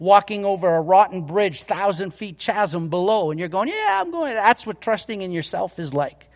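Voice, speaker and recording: A man's high voice, with pitch that varies in an ordinary way, moves at a moderate speed over noticeable background noise. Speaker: pastor. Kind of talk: sermon. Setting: church. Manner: loud.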